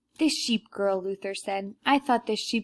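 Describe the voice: What you hear is plain reading aloud.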